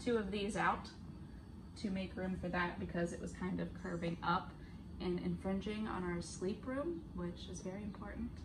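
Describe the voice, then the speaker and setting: A woman's speech, moving at a moderate pace, has noticeable background noise behind it. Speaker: vlogger. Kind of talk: casual vlog chat. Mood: cheerful, laughing. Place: car. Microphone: phone near.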